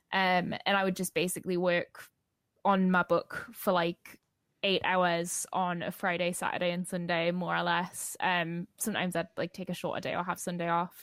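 The voice has a Geordie accent and monotone, flat intonation at a moderate pace. The sound is dry and close with no echo, in a very clean recording with a silent background. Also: woman, fairly low pitch for a woman. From northeast England, Newcastle. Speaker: novelist. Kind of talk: interview.

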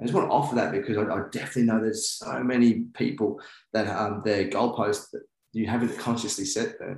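Fairly quick speech comes with a New Zealand accent. The intonation stays fairly even. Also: man, medium pitch for a man. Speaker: men's work coach. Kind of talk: casual interview.

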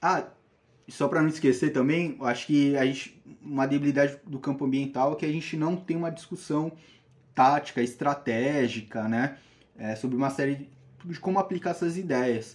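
A plain, everyday voice speaks at a moderate pace with ordinary pitch variation. The background is quiet. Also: man, fairly high pitch for a man. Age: 20s. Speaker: biology student and environmental activist. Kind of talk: casual interview.

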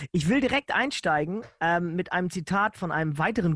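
A man with a normal speaking voice talks at a moderate pace with ordinary pitch variation. The sound is dry and close with no echo, over a quiet background. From northern Germany, Lower Saxony (Nienburg). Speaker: podcast host. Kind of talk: casual chat.

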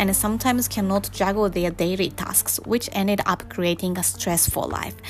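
Noticeable background noise accompanies a woman who speaks fairly slowly. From Japan. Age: 30s. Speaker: podcast host. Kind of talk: bilingual personal monologue podcast.

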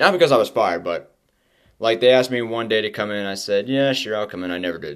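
Very fast speech in an American accent, with big swings in loudness, ordinary pitch variation and a very clean recording over a silent background. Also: man, medium pitch for a man. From Texas. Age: 20s. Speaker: podcast preacher. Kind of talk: personal testimony.

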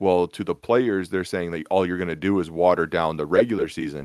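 A man's very deep, low voice in an American accent, on a very clean recording with a silent background. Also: dry, close sound with no echo. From Minnesota. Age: 20s. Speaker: podcast host. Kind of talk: casual sports chat.

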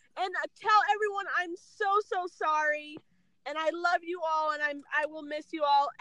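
A woman's raised, projected voice at an extremely high pitch, bright and sharp in tone, with fairly even intonation at a moderate pace. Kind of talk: casual chat. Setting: phone call.

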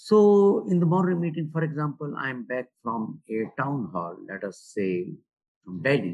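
With an Indian accent, a man talks at a fairly slow pace and a medium pitch, his pitch swinging very widely. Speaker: retired bank executive and author. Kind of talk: interview. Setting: remote call. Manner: halting.

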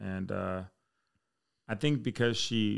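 A man with a normal speaking voice and fairly low pitch is heard in a dry, close sound with no echo. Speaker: air force fire chief. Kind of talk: casual chat.

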